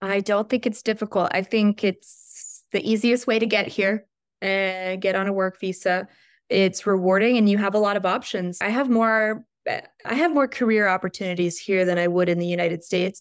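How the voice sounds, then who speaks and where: A woman with a normal speaking voice and an American accent talks at a moderate pace and medium pitch, with very even loudness and fairly even intonation, on a very clean recording with a silent background. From Richmond, Virginia, US. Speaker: American expat and social media creator. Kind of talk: casual interview.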